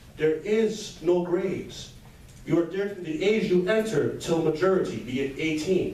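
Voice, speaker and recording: This man has a high-pitched voice and talks at a moderate pace with ordinary pitch variation. Audible echo from the room can be heard. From Montreal, Quebec, Canada. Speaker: motivational speaker. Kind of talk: motivational speech.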